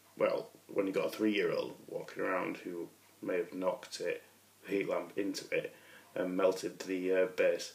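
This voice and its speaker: A man with a Yorkshire accent at a moderate pace. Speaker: miniature painter. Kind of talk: casual talk to camera.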